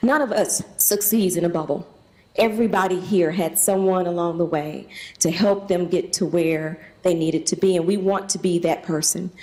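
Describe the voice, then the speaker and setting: Fairly even intonation with a Southern US accent. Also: woman, medium pitch for a woman. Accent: Southern US drawl. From US South, Tennessee. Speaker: charity leader hosting event. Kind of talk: welcome speech.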